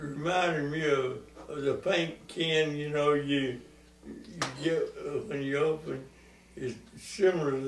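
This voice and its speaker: A man talks in an American accent at a fairly slow pace, his pitch fairly high and his intonation fairly even. His loudness swings a lot, and there is noticeable background noise. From Western North Carolina. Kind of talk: interview answer.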